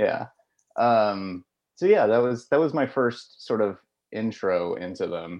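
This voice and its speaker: A man with an unremarkable speaking voice and a medium pitch talks at a fairly slow pace with lively intonation. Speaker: moped rider. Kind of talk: casual chat.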